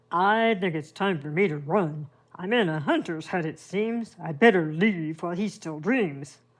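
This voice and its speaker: A put-on character voice at a middle pitch and a moderate pace. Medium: read story.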